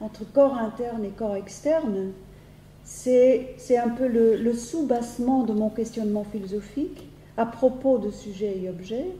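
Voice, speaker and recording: A woman with a Dutch accent speaks at a very slow pace and a fairly high pitch, with ordinary pitch variation. Audible room echo surrounds her voice. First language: Dutch (speaking French). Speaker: philosophy professor. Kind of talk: lecture. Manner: halting, many hesitations and repetitions.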